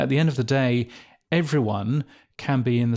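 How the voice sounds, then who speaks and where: In a very clean recording with a silent background, a man with a British accent speaks at a moderate pace in a dark, mellow tone. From England. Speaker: podcast industry editor. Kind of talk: interview. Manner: hesitant, many fillers.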